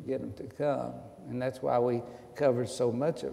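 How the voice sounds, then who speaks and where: A man speaks in an East Tennessee accent at a moderate pace. There is audible room echo. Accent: Southern US (East Tennessee). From US South. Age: 70s. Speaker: retired pastor. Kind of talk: interview. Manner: halting.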